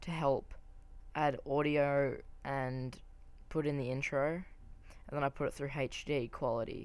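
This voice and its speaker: The pace is fairly slow. Intonation is monotone and flat. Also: woman. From Australia. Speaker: gaming commentator. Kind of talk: gameplay commentary. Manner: hesitant, many fillers.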